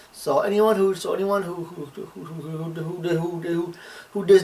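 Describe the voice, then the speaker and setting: A man with a high voice speaks at a moderate pace. Noticeable background noise is present. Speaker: video game reviewer. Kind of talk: scripted narration.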